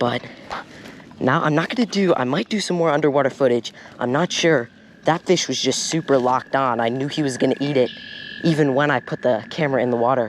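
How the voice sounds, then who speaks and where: Noticeable background noise sits under a man who talks at a fairly quick pace, his fairly high pitch showing ordinary pitch variation. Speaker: fishing vlogger. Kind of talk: casual vlog narration. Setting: outdoors at a pond. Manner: quiet talking.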